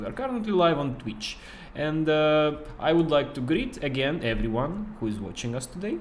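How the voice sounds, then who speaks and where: With a non-native accent, a man at fairly high pitch talks at a moderate pace, his pitch swinging very widely amid audible room echo. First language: not English. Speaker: game studio marketer and streamer. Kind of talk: casual livestream chat. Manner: halting, many fillers.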